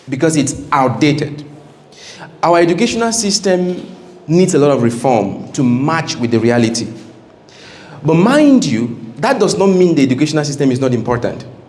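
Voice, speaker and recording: With very even loudness and lively intonation, a fairly high-pitched man speaks at a moderate pace, taking long, frequent pauses amid audible room echo and noticeable background noise. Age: 30s. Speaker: engineering company owner and guest speaker. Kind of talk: seminar talk to students.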